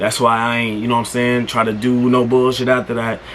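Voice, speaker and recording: Background noise is noticeable and room echo can be heard. A man talks at a fairly quick pace. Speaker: YouTuber. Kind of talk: casual monologue. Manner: halting, stuttering.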